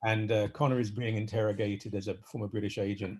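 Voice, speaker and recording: A man speaks at a fairly quick pace with a somewhat breathy voice. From Britain. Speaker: author. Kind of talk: conversational interview. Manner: halting, many repetitions.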